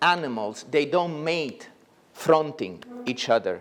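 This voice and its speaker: Speaking at a fairly slow pace in a Neapolitan accent, a man uses lively intonation and a fairly high pitch. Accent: Italian (Neapolitan). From Italy, Naples. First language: Italian. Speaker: plastic surgeon. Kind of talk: lecture. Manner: halting.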